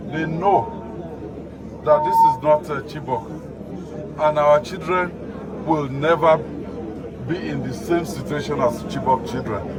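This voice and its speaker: Amid audible room echo and noticeable background noise, a man with a fairly high pitch and ordinary pitch variation speaks at a fairly slow pace with long, frequent pauses. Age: 50s. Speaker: state governor. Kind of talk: heated debate.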